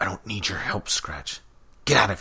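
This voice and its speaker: In a growling, gruff, put-on character voice, a man speaks at a moderate pace with big swings in loudness. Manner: growling, gruff, dismissive.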